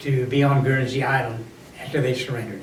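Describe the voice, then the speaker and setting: Noticeable background noise accompanies this recording. A man speaks at a very fast pace in a fairly high voice. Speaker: WWII Coast Guard veteran. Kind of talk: interview answer.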